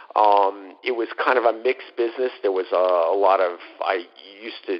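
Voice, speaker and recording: With an American accent, a man speaks at a fairly low pitch and with fairly even intonation. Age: 50s. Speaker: former fund manager. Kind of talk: interview. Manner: halting, many fillers.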